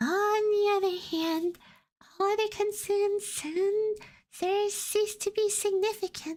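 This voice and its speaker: In a put-on character voice, a woman squeaks at an extremely high pitch, her intonation fairly even and her loudness very even. She goes at a fairly slow pace, and the recording is very clean with a silent background. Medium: virtual streamer.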